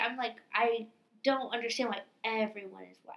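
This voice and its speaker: A woman speaks in a raised, projected voice at a moderate pace. Her tone is bright and sharp. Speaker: podcast co-host. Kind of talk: casual chat. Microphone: computer mic, distorted.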